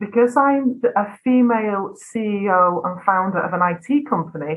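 A woman speaks in a northwest English accent. Her voice sits at a medium pitch. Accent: northwest English, flat vowels. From northwest England. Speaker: video business owner. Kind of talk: casual interview chat.

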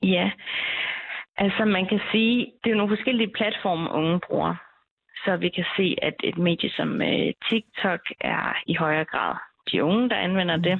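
At a fairly slow pace, a woman speaks in a medium pitch with ordinary pitch variation. Her loudness stays very even. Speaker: PhD researcher. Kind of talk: expert interview. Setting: phone call. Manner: hesitant, many fillers.

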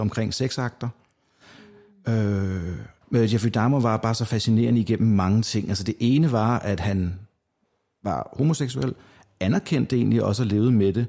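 A medium-pitched man with a dark, mellow tone speaks at a moderate pace with ordinary pitch variation, very even loudness and long, frequent pauses. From Denmark, North Zealand. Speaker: true crime podcaster. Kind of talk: casual chat.

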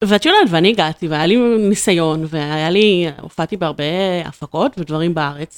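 A woman's normal speaking voice, fairly low in pitch with ordinary pitch variation, at a moderate pace with hardly any pauses, dry and close with no echo. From Israel, Ramat Gan. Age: 30s. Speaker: video marketing entrepreneur. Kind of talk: casual interview.

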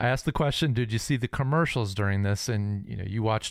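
A man's fairly low-pitched, unremarkable speaking voice at a fairly quick pace, in a very clean recording with a silent background. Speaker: podcast co-host. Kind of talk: casual chat.

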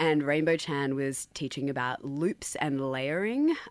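Woman with an Australian accent, very deep and low in pitch, at a moderate pace, in a very clean recording with a silent background. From Sydney, Australia. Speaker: radio station managing director. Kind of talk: radio interview. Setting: radio studio.

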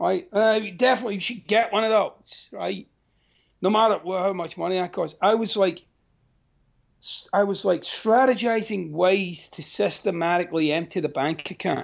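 The speaker is a man with a Glaswegian accent. His tone is animated. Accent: Glaswegian Scottish. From Scotland, Glasgow. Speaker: life coach and author. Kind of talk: interview conversation.

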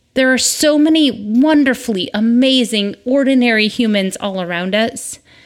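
With an American accent, a woman speaks at a fairly slow pace. Her voice is fairly high, with ordinary pitch variation. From Michigan, US Midwest. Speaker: podcast host, mother. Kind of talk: casual monologue. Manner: conversational, rambling.

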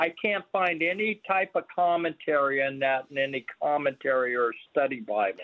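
A man with a plain, everyday voice and a fairly high pitch speaks at a moderate pace with lively intonation, very even loudness and hardly any pauses. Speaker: caller. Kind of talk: phone-in question. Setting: phone call.

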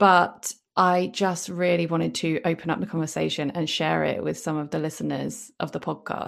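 In a British accent, a woman with a fairly low pitch and vocal fry speaks at a moderate pace. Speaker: podcast host and business coach. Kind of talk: casual chat. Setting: video call.

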